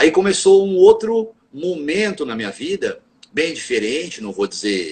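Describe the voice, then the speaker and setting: Fairly high male voice swinging very widely in pitch, delivered at a moderate pace. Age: 50s. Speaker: Quimbanda practitioner and spiritual teacher. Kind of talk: interview on a live stream. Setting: live video stream.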